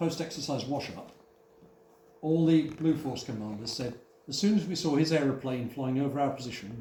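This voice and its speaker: A man speaks at a fairly quick pace and a fairly high pitch. His voice is somewhat breathy, with a dark, mellow tone. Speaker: museum volunteer guide. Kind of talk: live guided talk to visitors. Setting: indoor hall with audience.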